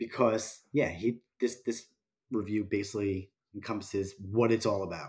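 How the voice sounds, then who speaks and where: A man with a fairly low, somewhat breathy voice and fairly even intonation talks at a moderate pace on a very clean recording with a silent background. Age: 40s. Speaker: podcast co-host, horror film fan. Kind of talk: casual chat about films.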